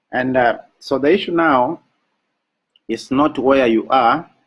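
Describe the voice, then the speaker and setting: With an African accent, a man talks at a fairly slow pace in a medium pitch. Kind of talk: motivational webinar talk. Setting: live online broadcast.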